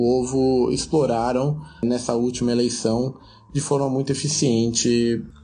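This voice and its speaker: A man's dark, mellow voice at a fairly slow pace, with audible room echo. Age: 30s. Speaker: immigrant worker. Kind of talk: recorded commentary.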